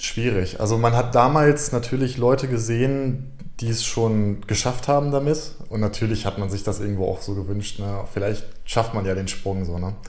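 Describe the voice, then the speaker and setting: Amid audible room echo, a man speaks at a moderate pace. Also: medium pitch for a man, ordinary pitch variation. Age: 20s. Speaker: YouTuber and streamer. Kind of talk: casual interview.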